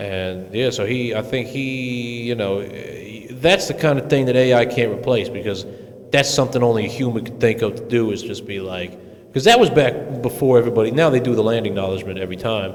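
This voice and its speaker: Mumbling at a fairly quick pace, a man shows ordinary pitch variation and big swings in loudness, with audible room echo and noticeable background noise. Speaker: podcast host. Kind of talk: casual chat. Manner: fast. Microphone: echo from mic gain set too high.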